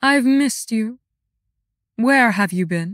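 A woman's put-on character voice, fairly high and warm, with lively intonation and a fairly slow pace, in a dry, close sound with no echo on a very clean recording with a silent background. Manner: icy, regal, falsely warm.

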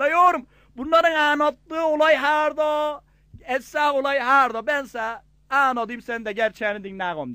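A man with a Gaziantep accent speaks in a raised, projected voice at a moderate pace, his tone bright and sharp and his pitch extremely high. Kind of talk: comic dialect joke telling.

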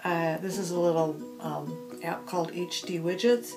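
A woman talks with music playing in the background. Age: 50s. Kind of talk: tutorial narration.

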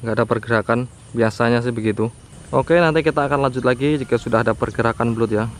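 A man at a very fast pace, fairly even intonation, dry sound with no echo. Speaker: fishing vlogger. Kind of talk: casual vlog commentary. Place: open country. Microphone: phone near.

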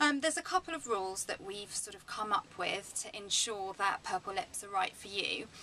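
A woman talks at a moderate pace with ordinary pitch variation. Light background noise runs underneath. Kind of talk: tutorial. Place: office. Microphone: phone near.

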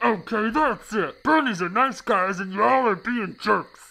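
A cartoonish character voice at a fairly high pitch on a very clean recording with a silent background. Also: moderate pace. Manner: chummy, then irritated and shouting.

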